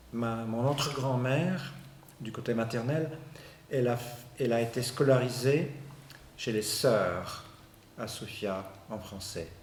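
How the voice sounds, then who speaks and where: With a Bulgarian accent and a medium pitch, a man speaks very slowly with ordinary pitch variation and long, frequent pauses, amid audible room echo and noticeable background noise. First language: Bulgarian (speaking French). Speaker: university professor, sociolinguist. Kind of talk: interview. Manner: halting, frequent repetitions and hesitations.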